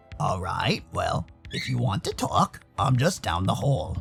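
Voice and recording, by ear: A raspy put-on character voice speaks at a fairly slow pace over faint music in the background. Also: man, fairly low pitch for a man.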